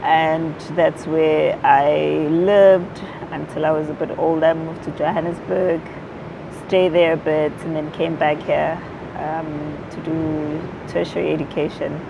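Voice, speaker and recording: The speaker talks at a fairly slow pace with monotone, flat intonation. Noticeable background noise and audible room echo fill the recording. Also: woman, very deep, low pitch for a woman. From South Africa, Durban (KwaZulu-Natal). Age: young. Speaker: activist and former radio presenter. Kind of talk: interview.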